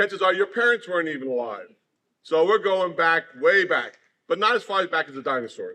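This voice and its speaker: Loud and bright with a sharp tone, a man speaks at a moderate pace. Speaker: former student speaking at a school. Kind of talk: speech to schoolchildren. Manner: loud, projecting.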